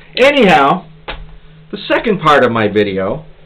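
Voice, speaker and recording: A man's voice over noticeable background noise. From Pennsylvania, US. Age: 60s. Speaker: YouTuber, pipe smoker, military veteran. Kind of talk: casual vlog monologue, rant. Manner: animated.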